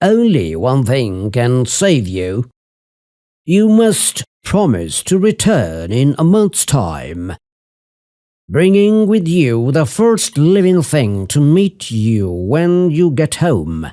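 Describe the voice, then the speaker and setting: A gruff, put-on character voice from a man, fairly high in pitch with very wide pitch swings, at a very slow pace, on a very clean recording with a silent background. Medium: read story. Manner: gruff, bellowing.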